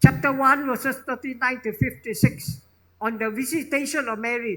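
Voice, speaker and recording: A man speaks in a raised, projected voice at a moderate pace, his pitch extremely high and his tone bright and sharp, with ordinary pitch variation and big swings in loudness. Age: 70s. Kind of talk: homily. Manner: emphatic, repetitive.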